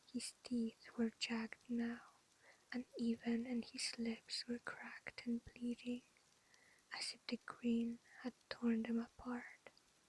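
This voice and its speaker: The voice is soft-spoken and goes at a very slow pace. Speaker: ASMR creator. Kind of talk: bedtime story reading.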